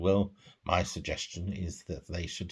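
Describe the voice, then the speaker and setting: A man with a British accent speaks at a moderate pace in a somewhat breathy voice. The recording is very clean, with a silent background. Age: 60s. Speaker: vlogger. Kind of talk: personal vlog monologue.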